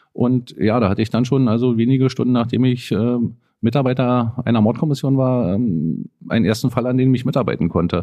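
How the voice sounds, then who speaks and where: A man's medium-pitched voice at a fairly quick pace, with ordinary pitch variation and very even loudness. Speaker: homicide detective. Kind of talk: interview. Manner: halting, many fillers.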